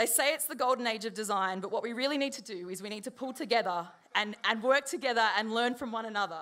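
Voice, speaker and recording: Hardly pausing, a woman speaks at a very fast pace with a bright, sharp tone and a fairly high pitch. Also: ordinary pitch variation. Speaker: designer at a conference talk. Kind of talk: conference talk.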